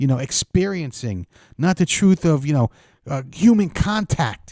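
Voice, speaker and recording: A man with an American accent speaks at a fairly slow pace, his dark, mellow tone moving through very wide pitch swings. The recording is very clean and dry, close with no echo, over a silent background. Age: 50s. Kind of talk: casual talk to camera. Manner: comical, ranting.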